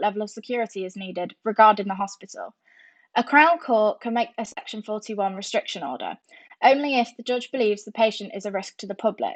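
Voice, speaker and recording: In a southern English accent, a woman talks at a very fast pace with a fairly high pitch. Her pitch variation is ordinary, and the background is quiet. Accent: sounds southern English. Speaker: nursing student. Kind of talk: educational narration.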